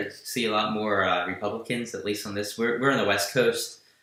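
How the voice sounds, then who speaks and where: A man with a New Jersey accent talks at a fairly quick pace in a fairly low pitch. His tone is bright and sharp, and room echo is audible. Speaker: political news podcast host. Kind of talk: live stream political chat.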